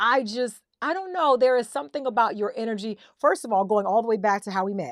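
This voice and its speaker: A woman speaks in an animated tone at a very fast pace. Her fairly high voice swings very widely in pitch. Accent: American. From US South. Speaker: podcast host. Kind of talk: casual chat.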